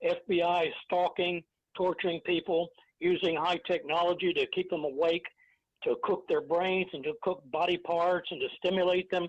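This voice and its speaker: The man's voice sits high in pitch for a man, with monotone, flat intonation. His pace is moderate. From Texas. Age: 70s. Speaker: former FBI agent whistleblower. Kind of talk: interview testimony. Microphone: interference or echo on line.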